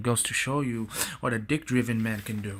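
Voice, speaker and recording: A man with a medium-pitched voice talks at a moderate pace on a very clean recording with a silent background. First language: not English. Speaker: TV show reviewer. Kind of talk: casual video review.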